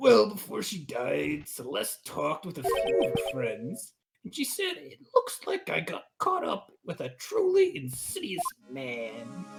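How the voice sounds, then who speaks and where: A man does a put-on character voice at a fairly slow pace. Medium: game stream. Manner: casual, chatty.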